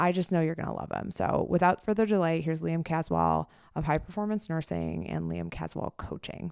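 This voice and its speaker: Against a quiet background, a woman talks at a moderate pace with a fairly low pitch. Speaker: podcast host, nurse midwife and coach. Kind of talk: casual interview podcast. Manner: enthusiastic.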